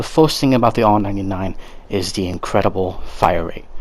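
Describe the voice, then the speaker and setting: A man's voice over noticeable background noise. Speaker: gaming youtuber. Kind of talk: casual commentary on game weapons. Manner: halting, repetitive.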